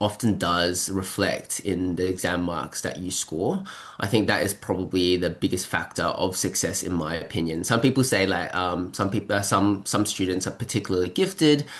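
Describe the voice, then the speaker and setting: A man with a very deep, low pitch, at a moderate pace with hardly any pauses. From Melbourne, Australia, partly raised in China. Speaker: medical student. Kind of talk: casual interview. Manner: hesitant, many fillers.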